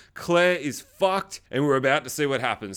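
Fairly high in pitch, a man speaks in an Australian accent at a fairly quick pace. His tone is animated and his intonation lively. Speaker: podcast host and movie reviewer. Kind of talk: casual review and chat. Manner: excitable, profane, animated.

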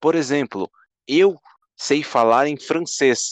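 A man's very slow speech with lively intonation, dry and close with no echo, over a quiet background. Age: 20s. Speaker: podcast co-host. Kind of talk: casual chat. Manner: animated.

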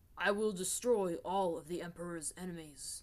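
A female-sounding voice performs a put-on character at a middle pitch. The pace is moderate. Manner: steady, even, unwavering.

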